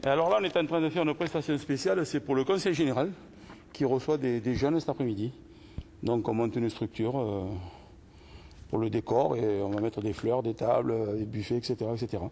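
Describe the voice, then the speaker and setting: A man at a medium pitch, fairly quick and lively in intonation, with long, frequent pauses. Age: 60s. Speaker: club general services handyman. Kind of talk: casual work talk and staff meeting. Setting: club office meeting.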